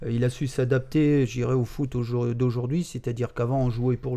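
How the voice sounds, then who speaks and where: Here a man speaks in a plain, everyday voice at a medium pitch, his intonation fairly even. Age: 50s. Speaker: job-integration supervisor, football fan. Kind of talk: casual podcast interview.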